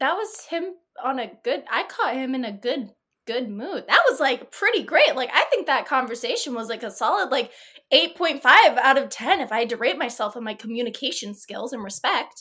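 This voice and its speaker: A woman's raised, projected voice, high-pitched, bright and sharp, animated and lively in intonation, at a moderate pace. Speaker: tabletop RPG player. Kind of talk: actual-play tabletop roleplaying game. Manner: laughing, animated.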